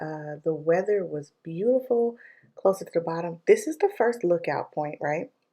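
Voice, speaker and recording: Quietly, a woman speaks at a moderate pace in a fairly low pitch, with a dark, mellow tone and ordinary pitch variation. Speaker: vlogger. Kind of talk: vlog voiceover. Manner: casual, many fillers.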